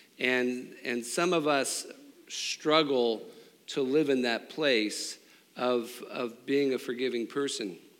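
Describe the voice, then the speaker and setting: A man's fairly high pitch at a very slow pace, fairly even intonation, and audible room echo. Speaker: preacher. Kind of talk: sermon. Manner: monotone.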